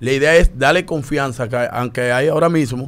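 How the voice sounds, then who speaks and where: A man's medium-pitched voice stays fairly even in its intonation. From Dominican Republic. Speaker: public figure with fans; radio show guest or host. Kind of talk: opinion discussion. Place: studio. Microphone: studio mic.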